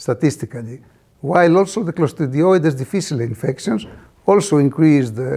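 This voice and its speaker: With a Greek accent, a man speaks at a fairly quick pace in a fairly high pitch, his tone dark and mellow, on a very clean recording with a silent background. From Greece. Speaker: clinical microbiologist. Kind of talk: conference talk. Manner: halting, many fillers.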